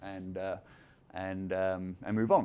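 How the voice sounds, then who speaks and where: This is a man speaking. He has a London accent. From London, England. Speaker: company founder and CEO. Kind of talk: conference talk.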